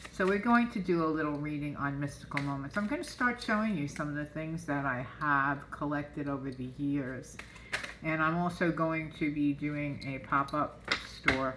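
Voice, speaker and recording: Through noticeable background noise and audible room echo, a woman speaks in a very deep, low pitch. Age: 70s. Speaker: tarot card reader. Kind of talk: casual oracle card reading to camera. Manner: chatty, informal with fillers.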